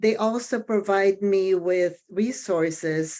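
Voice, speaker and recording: A woman's medium-pitched voice with a non-native accent, very slow in pace and fairly even in intonation. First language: not English. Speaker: daycare center owner. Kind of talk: committee meeting discussion. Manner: halting.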